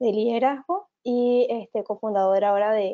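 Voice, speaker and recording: Fairly slow and fairly high-pitched, a woman talks in an unremarkable speaking voice whose pitch varies in an ordinary way. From Venezuela. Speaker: economist and project manager. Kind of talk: webinar presentation. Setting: online webinar.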